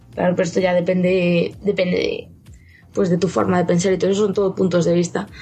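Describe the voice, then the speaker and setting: Very fast, somewhat breathy woman's voice of medium pitch, with a dark, mellow tone, very even loudness and fairly even intonation. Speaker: video game journalist. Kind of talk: casual chat.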